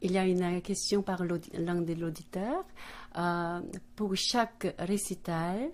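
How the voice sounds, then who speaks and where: A woman speaks very slowly with a Korean accent, at a medium pitch and with fairly even intonation. The recording is very clean, with a silent background. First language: Korean (speaking French). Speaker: radio host. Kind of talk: radio interview. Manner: halting French.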